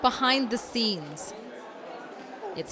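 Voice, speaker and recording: Crowd noise fills the background as a woman speaks at a fairly slow pace with ordinary pitch variation. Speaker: news anchor. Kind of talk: TV news reporter voiceover.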